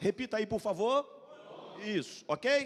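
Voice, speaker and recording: A man talks with lively intonation. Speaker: pastor. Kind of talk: sermon. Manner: fast.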